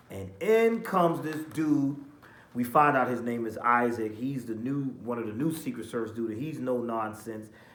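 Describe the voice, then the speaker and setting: A man speaks at a moderate pace with ordinary pitch variation and audible room echo. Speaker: TV show reviewer. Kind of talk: casual review monologue.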